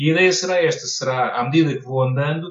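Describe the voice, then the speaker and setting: Somewhat breathy delivery at a fairly quick pace with ordinary pitch variation. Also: man. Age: 30s. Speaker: personal finance content creator. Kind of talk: podcast interview.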